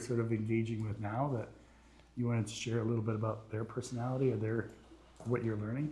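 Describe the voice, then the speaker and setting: Very fast, a man talks in a somewhat breathy voice with a dark, mellow tone. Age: 60s. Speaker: podcast host. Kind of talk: interview.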